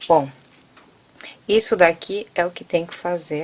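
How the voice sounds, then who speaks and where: A woman talks at a fairly low pitch and a fairly slow pace. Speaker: craft tutorial maker. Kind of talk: tutorial. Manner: soft-spoken.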